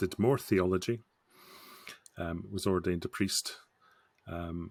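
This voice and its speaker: A man's very deep, low voice in a Scottish accent, at a fairly slow pace with fairly even intonation, in a dry, close sound with no echo. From Scotland, Scottish Borders. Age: 50s. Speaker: scrum master. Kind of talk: podcast interview.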